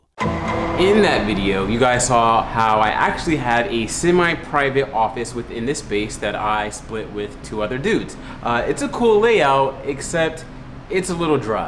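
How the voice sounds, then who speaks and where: Lively intonation from a man with an American accent, medium in pitch and fairly slow, with noticeable background noise and audible room echo. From Brooklyn, New York City. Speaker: lifestyle YouTuber. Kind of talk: vlog narration. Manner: loud; animated.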